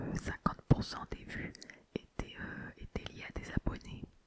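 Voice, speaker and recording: A woman is whispering. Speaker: ASMR creator. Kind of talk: casual ASMR talk to viewers. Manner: whispered.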